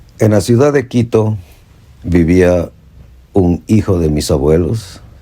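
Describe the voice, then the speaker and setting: A man speaks with a very deep, low pitch and a dark, mellow tone. His pace is very slow, with ordinary pitch variation. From Ecuador, coastal El Oro province. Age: 70s. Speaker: storyteller. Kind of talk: personal storytelling.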